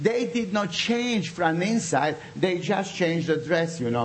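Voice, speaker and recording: There is noticeable background noise behind this man. He talks at a moderate pace with a high voice. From Bosnia. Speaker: pastor. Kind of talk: sermon with prayer. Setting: church with audience. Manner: animated, fervent.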